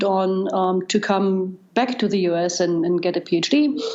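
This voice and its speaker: A woman with a German accent, medium pitch, ordinary pitch variation and a moderate pace. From East Germany. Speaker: data scientist. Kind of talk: interview. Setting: podcast.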